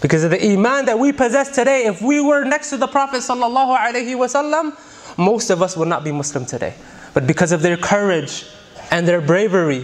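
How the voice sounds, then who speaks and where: Very wide pitch swings mark a man's speech, delivered at a very fast pace. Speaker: preacher. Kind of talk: sermon. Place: church. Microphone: studio mic.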